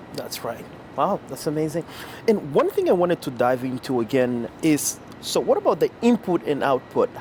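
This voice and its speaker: Moderate pace over noticeable background noise. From Angola. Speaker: podcast host. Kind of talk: interview. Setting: outdoors.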